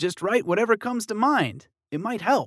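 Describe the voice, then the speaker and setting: Using a put-on character voice pitched high, a man speaks at a moderate pace, the sound dry and close with no echo. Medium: read story.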